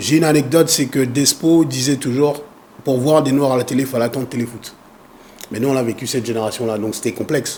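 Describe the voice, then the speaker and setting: Over noticeable background noise, a man at medium pitch talks fairly quickly with fairly even intonation. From Congo, raised in France. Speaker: foundation president and activist. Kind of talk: interview.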